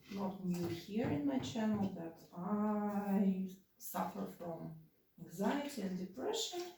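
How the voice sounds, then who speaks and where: Very slow and somewhat breathy, this voice has a Russian accent, lively intonation and a dark, mellow tone, with audible room echo. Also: woman. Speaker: vlogger. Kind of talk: casual vlog talk. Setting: at home while cleaning. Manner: halting, many fillers.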